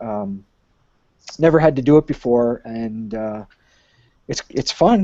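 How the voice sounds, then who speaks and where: Lively intonation marks this man's medium-pitched voice with an American accent. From Michigan, US. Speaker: high school English teacher and aspiring author. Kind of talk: casual interview.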